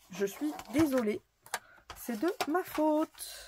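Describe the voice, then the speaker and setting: Her pace is very slow. The woman's intonation sounds lively. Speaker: craft tutorial youtuber. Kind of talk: tutorial. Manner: casual, chatty with fillers.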